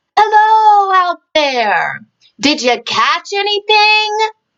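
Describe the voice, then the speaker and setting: A woman does a squeaky, put-on character voice at an extremely high pitch with lively intonation. She goes at a very slow pace in a dry, close sound with no echo. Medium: read story. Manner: gentle, warm.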